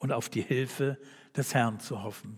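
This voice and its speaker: On a very clean recording with a silent background, a man speaks very slowly at a medium pitch in a warm, somewhat breathy tone. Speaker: preacher. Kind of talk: sermon in a church service, calm and earnest, closing with a read-out prayer and amen. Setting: church. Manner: earnest, warm and measured, pastoral and conversational.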